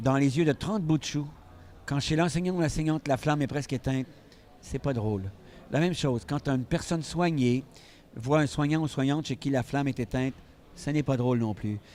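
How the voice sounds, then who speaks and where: A fairly high-pitched male voice with a dark, mellow tone, a fairly quick pace, long and frequent pauses, and ordinary pitch variation. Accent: Quebec. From Quebec. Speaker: physician and stress expert. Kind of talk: interview.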